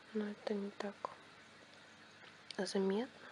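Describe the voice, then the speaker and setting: A soft-spoken woman with a fairly high pitch talks at a very slow pace. Noticeable background noise sits behind her. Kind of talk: ASMR product review to camera. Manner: quiet, soft-spoken.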